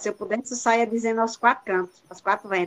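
A woman with a northeastern Brazilian accent speaks at a fairly quick pace in a fairly high voice. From Brazil, Rio Grande do Norte interior. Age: 50s. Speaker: retired teacher and doula. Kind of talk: testimony.

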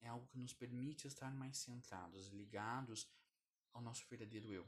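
A somewhat breathy male voice. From Brazil, Curitiba. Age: 20s. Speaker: podcast host, self-development. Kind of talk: solo educational monologue.

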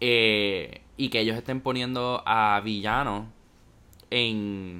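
A man with a fairly low voice speaks with fairly even intonation. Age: 19. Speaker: podcast co-host, university student. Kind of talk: casual chat.

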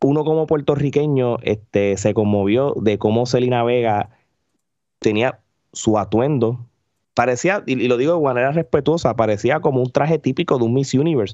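A man with a dark, mellow tone speaks at a medium pitch and moderate pace. His loudness is very even and his pitch variation ordinary. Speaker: wrestling media commentator. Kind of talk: casual chat. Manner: animated.

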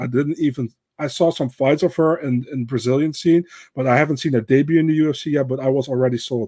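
With a Dutch accent, a man talks at a very fast pace in a fairly high pitch, his dark, mellow tone carrying fairly even intonation. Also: dry, close sound with no echo. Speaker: MMA pundit. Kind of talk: casual chat. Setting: remote call.

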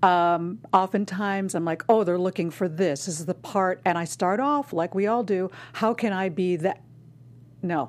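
Speaking with an American accent, a woman with an ordinary speaking voice keeps a medium pitch, a moderate pace, and ordinary pitch variation on a very clean recording with a silent background. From Chicago, Southwest Side. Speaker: actor and acting coach. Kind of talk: casual interview.

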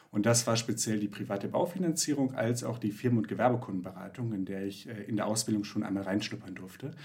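A man with a fairly low pitch and ordinary pitch variation, at a very fast pace with hardly any pauses. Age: 20s. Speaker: finance founder, real estate investor. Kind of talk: casual interview. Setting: video call. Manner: hesitant, many filler sounds.

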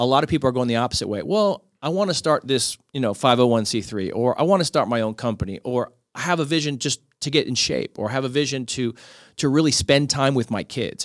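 This man has an unremarkable speaking voice, medium pitch and an American accent, talking at a fairly quick pace with lively intonation. The sound is dry and close with no echo, on a very clean recording with a silent background. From Miami, Florida. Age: 40s. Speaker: podcaster and author, former sports journalist. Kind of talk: casual chat.

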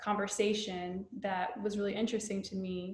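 With an American accent, a woman talks fairly slowly at a medium pitch. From US South. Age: 30s. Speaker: mental health counselor and spiritual community founder. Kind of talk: casual chat.

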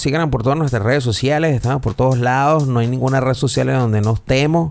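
Speaking fairly quickly with a Venezuelan accent, a man uses a medium pitch and lively intonation. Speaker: podcast host. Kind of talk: casual chat.

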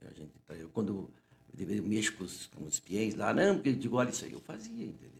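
A very fast, somewhat breathy delivery with lively intonation, big swings in loudness, and long, frequent pauses. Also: man, fairly low pitch for a man. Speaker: physician, interview guest. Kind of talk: casual interview, storytelling. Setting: studio. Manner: informal, repetitive, chatty.

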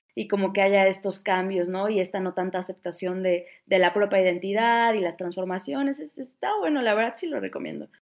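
Hardly pausing at all, a woman talks at a fairly quick pace. Her medium pitch shows ordinary pitch variation. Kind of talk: casual chat.

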